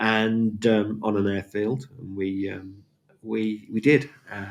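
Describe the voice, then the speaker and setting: Speaking at a very slow pace, a man with a fairly low pitch keeps his intonation fairly even while his loudness swings widely. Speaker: auctioneer and valuer. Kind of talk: podcast monologue, relaxed storytelling. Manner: conversational, hesitant with fillers.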